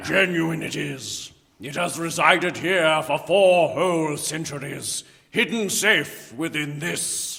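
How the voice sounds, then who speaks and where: A man puts on a character voice at a fairly high pitch. He goes at a fairly slow pace with fairly even intonation. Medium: audio drama. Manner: grandiose, gloating.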